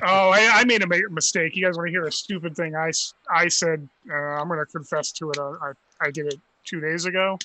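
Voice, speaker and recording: A man's fairly quick speech with fairly even intonation, dry with no echo, over light background noise. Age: 40s. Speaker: podcast co-host. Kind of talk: casual chat. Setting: remote call. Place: home room.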